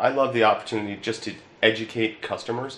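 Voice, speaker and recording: A man with an American accent talks at a fairly quick pace, with audible room echo and light background noise. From Newtown, Pennsylvania (Bucks County); Pennsylvania. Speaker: insurance agent. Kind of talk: promotional talk. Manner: hesitant, with filler words. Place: office.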